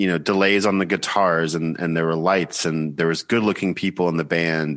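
Against a quiet background, a man with an American accent speaks at a fairly quick pace in a very deep, low pitch. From US South, Georgia. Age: 30s. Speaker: musician. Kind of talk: casual interview conversation.

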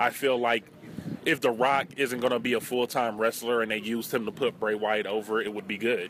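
A man at a medium pitch and fairly quick pace, over noticeable background noise. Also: fairly even intonation. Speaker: co-host interviewer. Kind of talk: casual street interviews.

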